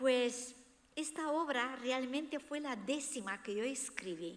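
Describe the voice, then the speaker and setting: A woman with a Romanian accent speaks at a very slow pace, her high-pitched voice carrying lively intonation. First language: Romanian (speaking Spanish). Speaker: author. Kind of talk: book presentation talk.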